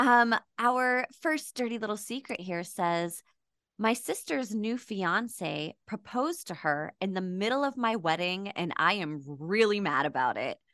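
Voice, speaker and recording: A woman's bright, sharp voice at medium pitch, fairly slow, with very wide pitch swings against a quiet background. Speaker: podcast co-host. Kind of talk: casual chat.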